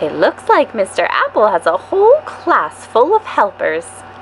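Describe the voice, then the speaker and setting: A woman's put-on character voice, high in pitch, at a moderate pace over clear background noise. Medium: read story.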